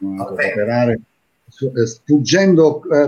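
Lively intonation and a dark, mellow tone carry this voice along at a moderate pace. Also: man. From Taranto, Apulia, southern Italy. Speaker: TV and radio presenter, impressionist. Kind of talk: casual chat.

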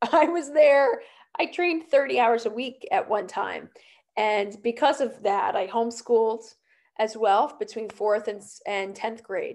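At a fairly slow pace, a woman with a fairly high pitch and lively intonation talks in an unremarkable speaking voice. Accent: American. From New Jersey. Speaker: pediatric occupational therapist. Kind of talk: casual interview.

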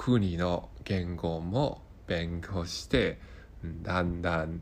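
A man speaks with a Hong Kong accent. His pitch is very deep and low. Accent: Hong Kong Cantonese accent in Japanese. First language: Cantonese (speaking Japanese). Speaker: Japanese learner podcaster. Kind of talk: casual monologue. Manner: halting, many fillers.

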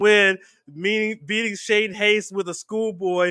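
At a fairly slow pace, a man uses a raised, projected voice that is high-pitched, bright and sharp, with an animated tone. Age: 40s. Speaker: podcast host. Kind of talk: casual chat.

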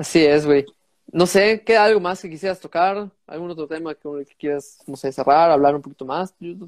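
The man's pitch is high, with ordinary variation. The sound is dry and close with no echo, and his loudness swings a lot. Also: moderate pace. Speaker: podcast host. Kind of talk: casual chat.

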